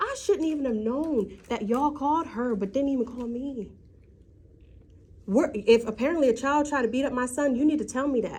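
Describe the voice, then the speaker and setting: A woman's loud, high voice at a fairly quick pace, with ordinary pitch variation. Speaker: parent at school meeting. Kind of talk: heated argument.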